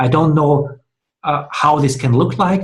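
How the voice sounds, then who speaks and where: A man speaks in a fairly high pitch with a non-native accent. His voice is somewhat breathy. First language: not English. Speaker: dialogue host. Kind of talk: discussion. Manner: halting.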